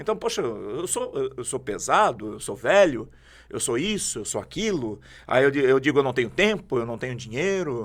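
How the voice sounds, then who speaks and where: Over a silent background in a very clean recording, a man speaks at a moderate pace and medium pitch with very wide pitch swings. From southern Brazil, Santa Catarina (Jaraguá do Sul). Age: 40s. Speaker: prophet, preacher. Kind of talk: podcast interview, testimony.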